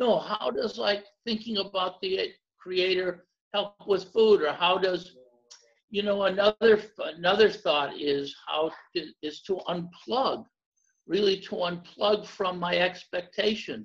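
Very slowly, a man talks in a high voice. His pitch varies in an ordinary way. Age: 70s. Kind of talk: casual conversation about faith.

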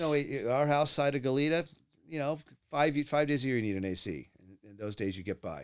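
An American accent at a fairly quick pace, with lively intonation and big swings in loudness. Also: man, fairly high pitch for a man. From California. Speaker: podcast host. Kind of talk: casual chat.

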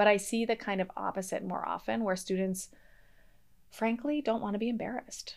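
A woman speaks in a normal speaking voice with an American accent, at a medium pitch and a fairly quick pace, her intonation fairly even. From US Northeast, Boston area. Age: 30s. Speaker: history professor. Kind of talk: podcast interview.

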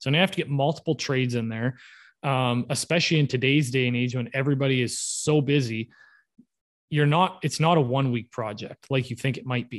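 In a Canadian accent, a man with an ordinary speaking voice talks at a fairly quick pace, at medium pitch with fairly even intonation, over a quiet background. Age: 30s. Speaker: home builder. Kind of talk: casual interview.

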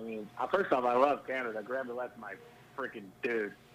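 An American-accented man speaks at a moderate pace with ordinary pitch variation over noticeable background noise. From US Midwest, Ohio. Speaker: retired pro golfer and podcaster. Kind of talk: casual interview chat.

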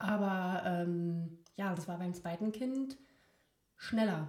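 A woman talks at a medium pitch, somewhat breathy. Her pace is very slow. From near Berlin. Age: 30s. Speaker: occupational therapist. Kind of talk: casual chat. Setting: living room. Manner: halting, many fillers.

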